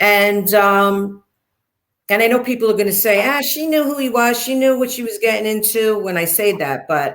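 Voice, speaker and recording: A woman with a Brooklyn accent speaks at a moderate pace, her fairly high voice rising and falling in a lively way. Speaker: interview guest, former mob wife. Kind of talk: interview storytelling. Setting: livestream interview. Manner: animated.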